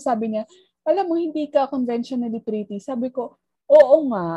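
A woman speaks at a high pitch in a dark, mellow tone. Her intonation is lively. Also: dry, close sound with no echo. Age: 30s. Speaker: podcast co-host. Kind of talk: casual chat.

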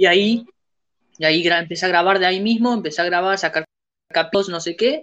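Speaking at a fairly quick pace, a woman has a bright, sharp tone. Her pitch is medium with ordinary pitch variation. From Uruguay, Montevideo. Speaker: podcast host. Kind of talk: casual chat.

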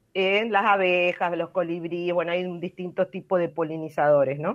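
A woman speaks at a medium pitch and moderate pace. Her intonation is fairly even. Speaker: environmental science expert, weekly radio segment. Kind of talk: explanatory talk on radio.

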